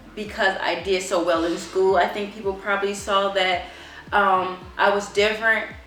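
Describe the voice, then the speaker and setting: A medium-pitched woman with an American accent at a moderate pace, monotone and flat in intonation, amid noticeable background noise and audible room echo. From Chicago, Illinois, US. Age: 30s. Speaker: homeschooling mother. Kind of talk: interview testimony. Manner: halting, many fillers.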